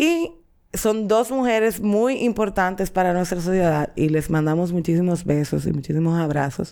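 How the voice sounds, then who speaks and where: The tone is dark and mellow, with lively intonation. Delivery moves at a moderate pace. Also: woman. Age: 30s. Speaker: podcast host. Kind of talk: casual chat.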